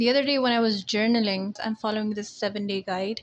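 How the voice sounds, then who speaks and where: There is noticeable background noise behind this woman. Her fairly high voice keeps a fairly even intonation. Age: 20s. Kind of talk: casual talk to camera. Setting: low-quality headset-style mic.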